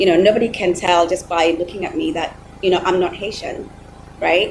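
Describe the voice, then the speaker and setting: The woman speaks at a fairly quick pace with medium pitch and ordinary pitch variation. Noticeable background noise is present. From Kenya. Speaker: panelist, supporter of Haiti. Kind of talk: virtual panel discussion. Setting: video call.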